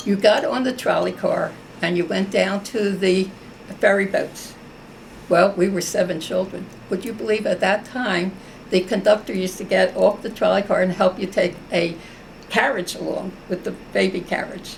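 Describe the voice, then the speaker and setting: A woman with an American accent speaks at a moderate pace in a medium pitch, her pitch varying in an ordinary way. Background noise is noticeable. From US Northeast, South Philadelphia. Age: 90s. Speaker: war veteran. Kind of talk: oral history interview.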